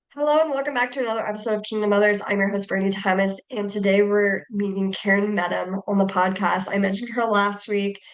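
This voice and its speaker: A woman with an American accent at a medium pitch, a very fast pace with hardly any pauses, over noticeable background noise. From US Midwest, Indiana. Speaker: podcast host. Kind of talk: podcast interview. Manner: enthusiastic.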